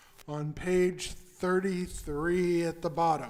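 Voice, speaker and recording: A man with an American accent, high pitch and a very slow pace, amid audible room echo. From Texas. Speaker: rabbi. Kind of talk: religious service leading.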